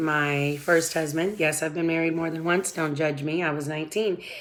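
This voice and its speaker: With audible room echo around her, a woman with an American accent speaks in a flat monotone at a very deep, low pitch. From Southern California. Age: 40s. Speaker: vlogger. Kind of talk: casual personal vlog. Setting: at home before work.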